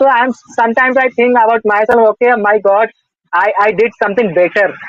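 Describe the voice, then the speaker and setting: A man's high voice at a fairly quick pace, with fairly even intonation and very even loudness. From North India. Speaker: English learner interviewee. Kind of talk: casual conversation practice. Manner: halting, many fillers and restarts.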